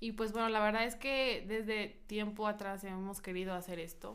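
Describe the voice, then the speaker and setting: A fairly high-pitched woman at a fairly quick pace, with audible room echo. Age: 20s. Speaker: podcast co-host. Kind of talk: casual chat. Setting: studio.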